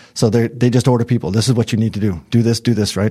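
This man talks at a very fast pace with an American accent. His pitch sits fairly low, and there is noticeable background noise. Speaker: business executive. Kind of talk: interview. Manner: fast and animated.

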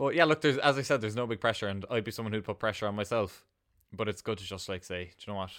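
Talking at a very fast pace, a man with a Cork accent and a fairly low pitch shows ordinary pitch variation. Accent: Cork Irish. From Ireland, north-west County Cork near Kerry border. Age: 20s. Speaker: small food business owner and teacher. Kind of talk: interview.

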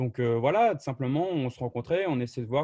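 A man's dark, mellow voice at medium pitch and a very fast pace, dry and close with no echo, over a quiet background. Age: 20s. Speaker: software marketing professional. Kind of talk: interview.

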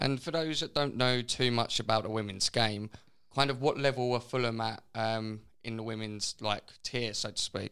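An ordinary speaking voice from a man, moderate in pace, medium in pitch, with fairly even intonation. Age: 20s. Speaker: podcast host. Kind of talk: casual chat.

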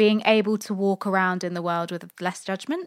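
In a very clean recording with a silent background, a woman with a British accent speaks at a moderate pace in a medium pitch with fairly even intonation. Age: 20s. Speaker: podcast co-host. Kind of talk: casual chat.

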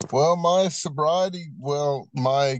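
This man speaks with an American accent. His pace is very slow. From Virginia. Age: 50s. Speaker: person in addiction recovery. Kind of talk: testimony. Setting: remote call.

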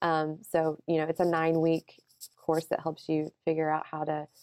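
In a Southern US accent, a woman with a fairly low pitch and a dark, mellow tone talks at a moderate pace in a dry, close sound with no echo. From Alabama. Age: 30s. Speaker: recruiter and blogger. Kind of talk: podcast interview.

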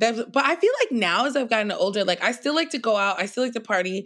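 Using a normal speaking voice, a woman with an American accent speaks at a fairly high pitch with lively intonation. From New York City, Queens. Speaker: comedian. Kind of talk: casual chat.

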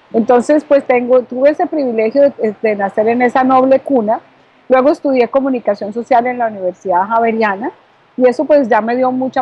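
A woman's high voice at a fairly quick pace. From Colombia (Bogotá). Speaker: author and communication coach. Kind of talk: interview.

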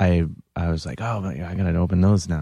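In a very clean recording with a silent background, a man speaks in a very deep, low voice with monotone, flat intonation. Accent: American. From US Midwest, Cleveland. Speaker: comedian and musician. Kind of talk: casual chat. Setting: studio. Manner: soft-spoken.

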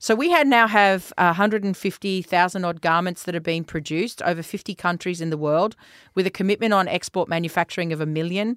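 A woman's fairly low voice with an Australian accent, fairly quick pace and ordinary pitch variation, dry and close with no echo, on a very clean recording with a silent background. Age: 50s. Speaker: tech company founder and CEO. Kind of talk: interview.

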